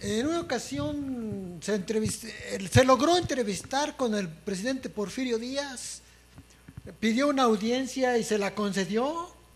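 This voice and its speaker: The man's pitch is extremely high. He talks at a fairly slow pace. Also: lively intonation. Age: 70s. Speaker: history teacher. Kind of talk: radio interview. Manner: halting.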